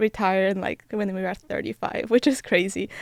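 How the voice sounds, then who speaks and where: A woman with a Polish accent on a very clean recording with a silent background. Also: dry, close sound with no echo. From Poland. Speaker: college athlete, Olympic runner. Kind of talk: podcast interview. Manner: hesitant, many fillers.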